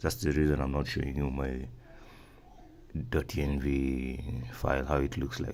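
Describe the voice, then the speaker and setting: With a very deep, low pitch and monotone, flat intonation, a man talks with long, frequent pauses amid audible room echo. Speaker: software developer tutorial maker. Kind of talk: screen-recorded coding tutorial. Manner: fast; halting, many fillers and repeats.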